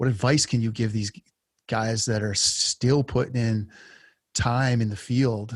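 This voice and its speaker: A man with a medium-pitched, somewhat breathy voice speaks at a fairly slow pace in a monotone, flat way. The recording is very clean, with a silent background. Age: 40s. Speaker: podcast host and lineman. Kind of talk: interview conversation. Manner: halting.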